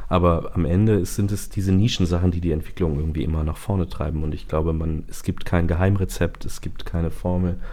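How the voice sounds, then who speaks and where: Over audible room echo, a dark, mellow voice rushes at a very fast pace with hardly any pauses and fairly even intonation. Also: man, very deep, low pitch for a man. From northern Germany (Bremen). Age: 30s. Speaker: singer and songwriter. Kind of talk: interview. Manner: hesitant, many fillers.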